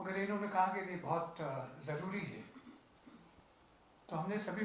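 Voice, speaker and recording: A man's fairly even intonation comes through audible room echo while noticeable background noise lingers. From Punjab (Lahore area). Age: 80s+. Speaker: interfaith organization president. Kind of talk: press conference speech.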